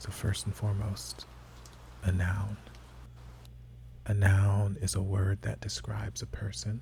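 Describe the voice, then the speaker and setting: A soft-spoken man talks at a very slow pace. His pitch is very deep and low. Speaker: ASMR creator. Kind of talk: ASMR game talk to camera.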